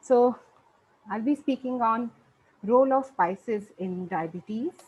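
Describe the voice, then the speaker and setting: A soft-spoken, somewhat breathy woman's voice, fairly high in pitch, with lively intonation and a fairly slow pace. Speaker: nutrition researcher. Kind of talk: lecture.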